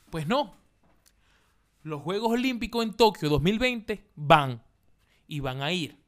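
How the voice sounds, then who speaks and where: A high-pitched man speaks very slowly, with long, frequent pauses. His pitch swings very widely and his loudness varies greatly. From Venezuela, Maracaibo. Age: 20s. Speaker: podcast host, comedian. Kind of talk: casual monologue.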